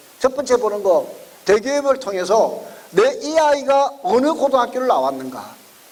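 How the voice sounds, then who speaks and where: A man at a very even loudness over noticeable background noise. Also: moderate pace. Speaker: education consultant lecturer. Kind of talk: lecture.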